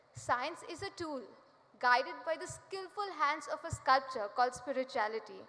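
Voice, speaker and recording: The speech moves at a moderate pace. Pitch varies in an ordinary way. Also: woman. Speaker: student speaker. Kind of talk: prepared speech. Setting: stage with audience.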